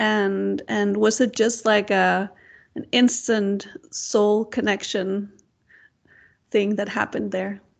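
At a very slow pace over a quiet background, a woman speaks in a monotone, flat intonation with long, frequent pauses. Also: medium pitch for a woman. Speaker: podcast host and Nordic shamanic practitioner. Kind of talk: casual interview chat.

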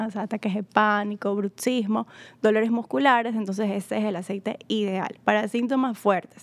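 Recorded very cleanly against a silent background, a woman speaks in an ordinary speaking voice at medium pitch and a moderate pace, with fairly even intonation. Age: 20s. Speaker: sales and customer advisor. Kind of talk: casual promotional chat.

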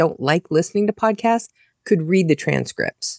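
Speaking with an American accent in a plain, everyday voice, a woman talks at a moderate pace and medium pitch with ordinary pitch variation, in a dry, close sound with no echo. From United States. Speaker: indie author and podcaster. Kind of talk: casual chat.

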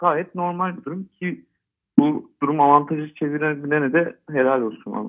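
Speaking at a moderate pace, a man has a normal speaking voice and a fairly high pitch. His intonation is lively. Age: 30s. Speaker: football fan. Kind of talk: casual interview. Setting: phone call.

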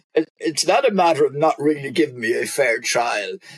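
At a fairly quick pace, a man of medium pitch talks with lively intonation and a slightly husky edge, in a dry, close sound with no echo.

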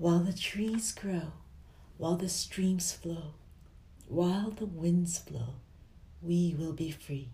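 A quiet, soothing whisper at a very slow pace, broken by long, frequent pauses. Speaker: sleep-story narrator. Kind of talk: slow bedtime poetry reading for sleep. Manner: slow, quiet, soothing delivery; gentle whisper on the repeats.

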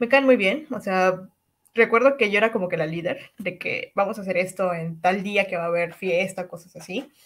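Moderate pace, medium pitch and ordinary pitch variation from a woman with a plain, everyday voice. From Cancún, Mexico. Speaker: podcast co-host. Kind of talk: casual chat.

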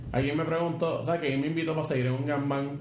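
A man with a Puerto Rican accent at a fairly quick pace, audible room echo around him. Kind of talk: casual chat. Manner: animated.

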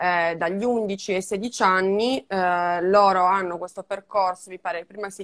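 A woman with an ordinary speaking voice talks at a fairly slow pace, at a medium pitch with ordinary pitch variation. The recording is very clean with a silent background. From Sardinia, Italy. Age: 20s. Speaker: digital strategist and podcaster. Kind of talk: casual interview.

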